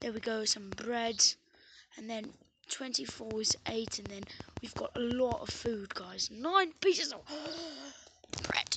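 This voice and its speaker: A woman uses a put-on, raspy character voice with a playful tone and a fairly high pitch. She speaks at a fairly slow pace, with long, frequent pauses and big swings in loudness. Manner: playful, pretending an accent.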